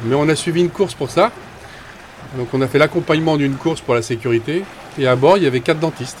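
Somewhat breathy and fairly high-pitched, a man talks at a very fast pace with ordinary pitch variation. Long, frequent pauses break up his speech. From Brittany, Saint-Malo. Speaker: boat skipper. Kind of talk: casual interview.

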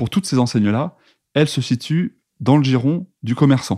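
A man speaks at a moderate pace with a medium pitch. The sound is dry and close with no echo, and the recording is very clean over a silent background. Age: 30s. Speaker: entrepreneur. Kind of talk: interview. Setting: shop.

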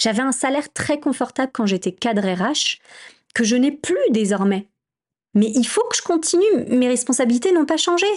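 A woman's high-pitched voice with very wide pitch swings and very even loudness, moderate in pace with long, frequent pauses, over a quiet background. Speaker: podcast host and entrepreneur. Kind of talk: solo podcast monologue. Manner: halting. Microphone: new microphone.

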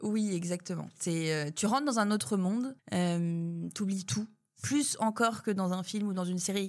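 A woman's normal speaking voice at medium pitch, with lively intonation. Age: 30s. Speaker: food company founder. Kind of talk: casual interview. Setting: coworking space.

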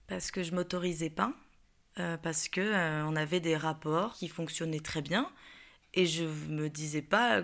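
The recording is very clean with a silent background. Intonation stays fairly even. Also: woman. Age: 20s. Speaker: actress sharing personal story. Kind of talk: personal testimony interview. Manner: hesitant, many fillers.

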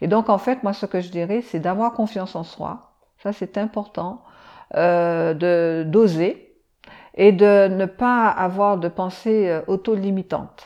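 A woman speaks at a very slow pace with a dark, mellow tone. Her intonation is fairly even, and the background is quiet. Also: medium pitch for a woman. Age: 60s. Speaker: engineer. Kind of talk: interview. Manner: hesitant.

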